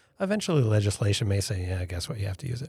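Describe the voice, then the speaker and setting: Very fast, somewhat breathy speech with an American accent and very wide pitch swings, in a dry, close sound with no echo. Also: man, very clean recording, silent background. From upstate New York (Elmira). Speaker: futurist, company founder. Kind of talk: interview.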